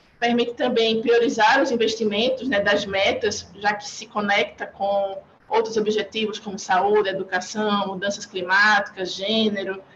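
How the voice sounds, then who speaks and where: With a Northeastern Brazilian accent, a woman speaks at a fairly slow pace and medium pitch in a flat monotone, hardly pausing, over noticeable background noise. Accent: Northeastern Brazilian (Alagoas). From Brazil, Maceió (Alagoas, Northeast). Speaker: UN agency urban development officer. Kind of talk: panel presentation. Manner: formal.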